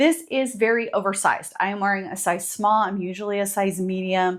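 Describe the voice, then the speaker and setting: Heard on a very clean recording with a silent background, a woman with an unremarkable speaking voice talks at medium pitch and a moderate pace. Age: 50s. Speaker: fashion vlogger. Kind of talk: casual product talk. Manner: casual, with filler words.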